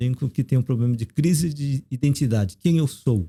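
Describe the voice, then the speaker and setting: This man's voice sits fairly high in pitch, with a dark, mellow tone. His pitch varies in an ordinary way, and the sound is dry and close with no echo. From South Korea, raised in Brazil from age 9. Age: 50s. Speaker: theologian and professor. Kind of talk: casual interview.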